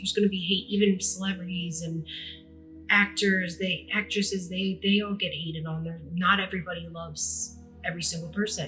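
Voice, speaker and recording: Someone talks at a fairly quick pace with music playing in the background. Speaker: podcast host. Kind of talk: casual monologue. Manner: fast; hesitant, many fillers.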